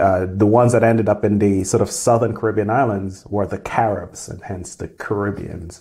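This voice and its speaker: Dark, mellow tone, somewhat breathy, at a fairly quick pace with hardly any pauses and fairly even intonation, over a quiet background. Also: man, fairly low pitch for a man. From Grenada. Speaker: engineering professor. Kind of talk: interview. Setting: office. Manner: halting with frequent repetitions. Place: office.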